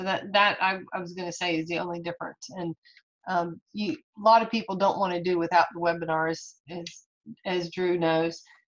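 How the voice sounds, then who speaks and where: A normal speaking voice from a woman, fairly low in pitch, at a moderate pace with fairly even intonation. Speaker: network marketing team leader. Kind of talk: business opportunity call. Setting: video call.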